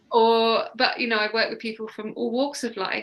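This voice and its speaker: A woman with a southern English accent talks at a fairly quick pace. Her tone is bright and sharp, with monotone, flat intonation. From southern England, Sussex. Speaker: mindset coach. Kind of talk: interview.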